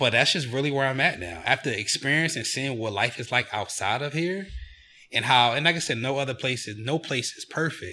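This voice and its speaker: On a very clean recording with a silent background, a man with an American accent talks fairly quickly in a bright, sharp tone with lively intonation. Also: medium pitch for a man. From Chester, Pennsylvania (near Philadelphia). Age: 30s. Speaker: travel company founder. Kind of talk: casual interview.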